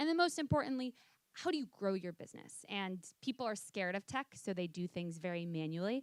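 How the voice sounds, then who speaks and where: With a plain, everyday voice at a medium pitch, a woman talks at a fairly quick pace in a dry, close sound with no echo and a very clean recording with a silent background. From US, New York City. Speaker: software company founder, fitness instructor. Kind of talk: panel discussion. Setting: stage with audience.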